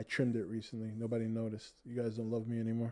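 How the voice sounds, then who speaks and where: A man's very fast, flat, monotone speech with an American accent and a dark, mellow tone. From Boston, Massachusetts. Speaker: podcast host. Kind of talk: casual chat.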